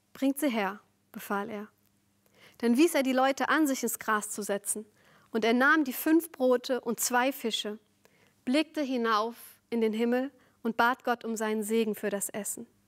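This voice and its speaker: The woman's voice sits fairly high, with ordinary pitch variation and a moderate pace. She leaves long, frequent pauses against a quiet background. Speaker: preacher. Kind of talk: sermon. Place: studio.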